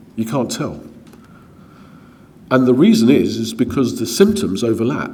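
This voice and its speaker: With audible room echo, a man speaks at a moderate pace and medium pitch, his pitch swinging very widely between long, frequent pauses. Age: 60s. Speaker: gynaecologist. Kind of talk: lecture. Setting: conference talk with slides.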